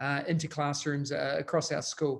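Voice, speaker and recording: A man speaks in a monotone, flat delivery with a New Zealand accent, on a very clean recording with a silent background. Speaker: educational technology consultant. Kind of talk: conference presentation.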